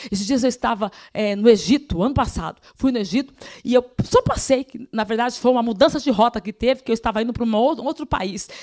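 Dry and close with no echo, the voice sounds animated, rushing at a very fast pace with ordinary pitch variation. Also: woman, fairly high pitch for a woman. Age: 40s. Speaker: preacher. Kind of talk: sermon.

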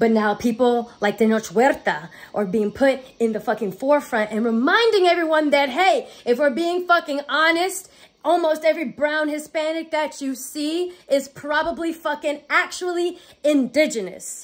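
A woman's animated, furious tone, high in pitch, with lively intonation. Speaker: video blogger. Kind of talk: angry rant. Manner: furious, profane, sarcastic; fast, animated, emphatic. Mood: angry yet gleeful. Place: home room. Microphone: phone near.

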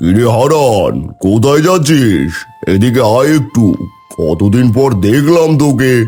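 Over faint background music, a man uses a cartoonish character voice at a medium pitch and a fairly slow pace. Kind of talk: cartoon dub acting. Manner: loud, familiar, patronizing.

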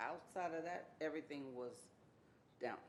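Heard with audible room echo, the speaker talks in an American accent. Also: woman. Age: 60s. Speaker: public commenter at city council. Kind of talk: public comment. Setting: city council meeting.

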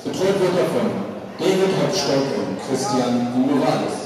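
Amid strong room echo and noticeable background noise, a man talks with ordinary pitch variation. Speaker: ring announcer. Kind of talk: announcement reading boxer bio. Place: hall. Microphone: pa.

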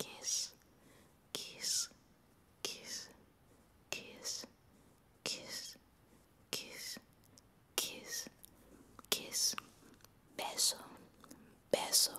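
Whispering very slowly, a woman leaves long, frequent pauses. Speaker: ASMR creator. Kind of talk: ASMR trigger words. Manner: whispered. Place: home room. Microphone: studio mic.

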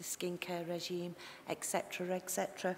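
Someone with a Liverpool accent speaks at a very slow pace over light background noise. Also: woman. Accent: Liverpool (Scouse). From Liverpool area. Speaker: tissue viability nurse giving a conference presentation. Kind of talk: conference presentation. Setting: conference talk. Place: hall. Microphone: headset.

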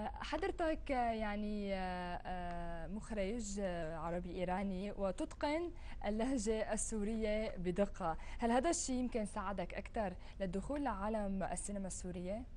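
Over light background noise, a woman speaks at a fairly slow pace. Her fairly high voice has lively intonation. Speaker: TV show host. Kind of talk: TV interview. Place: studio. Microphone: lapel.

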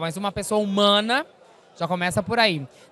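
With a bright, sharp tone and an animated delivery, a woman speaks at a moderate pace with lively intonation, in a dry sound with no echo. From southern Brazil, interior of Rio Grande do Sul. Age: 40s. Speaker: actress and singer; actress. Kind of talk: press interview. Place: hall. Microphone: handheld.

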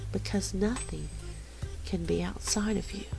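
The woman keeps a moderate pace. Behind her, music is playing. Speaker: spirituality teacher. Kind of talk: spiritual teaching narration.

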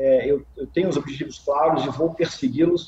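A man speaks at a fairly high pitch with ordinary pitch variation. The room echo is audible, with light background noise. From Minas Gerais, Brazil. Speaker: marketing executive and biologist. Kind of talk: interview answer. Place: home room. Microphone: video call.

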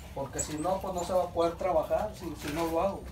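A man with a high pitch speaks at a fairly quick pace over noticeable background noise. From northern Mexico, Sabinas; northern Mexico. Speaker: reed basket weaver. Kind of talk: casual interview, demonstrating craft; interview answer and demonstration. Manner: halting. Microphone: phone near.

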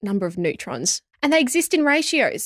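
A woman's voice with very wide pitch swings, a dry sound with no echo and a quiet background. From Australia (Sydney). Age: 20s. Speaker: geoscience podcast host. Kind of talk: casual chat. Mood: enthusiastic, wondering. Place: studio. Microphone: studio mic.

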